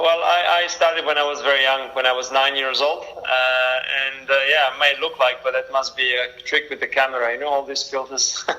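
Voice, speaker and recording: A man with an Italian accent speaks at a fairly quick pace in a flat monotone, his pitch fairly high, with hardly any pauses and noticeable background noise. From Italy, Milan. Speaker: race car driver. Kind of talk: interview. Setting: video call.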